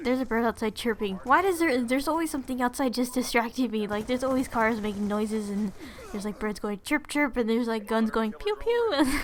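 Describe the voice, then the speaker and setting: With an American accent, a woman talks at a very fast pace in a high pitch with ordinary pitch variation, over noticeable background noise. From California. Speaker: gaming YouTuber. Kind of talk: Q and A vlog. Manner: casual, halting with fillers.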